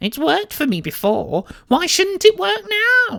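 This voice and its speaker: In a put-on character voice, a female-sounding speaker whines at a moderate pace, her fairly high pitch making very wide swings. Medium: read story. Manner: whiny.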